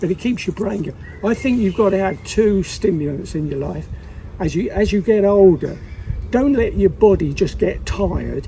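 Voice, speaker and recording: A man with a high pitch and ordinary pitch variation talks at a moderate pace while noticeable background noise carries on around him. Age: 80s+. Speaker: local resident. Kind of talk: casual chat.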